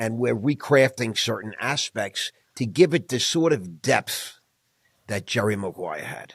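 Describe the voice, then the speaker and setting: Speaking in a normal speaking voice at medium pitch, a man uses lively intonation and a fairly slow pace. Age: 60s. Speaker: finance executive and entrepreneur. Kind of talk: interview conversation.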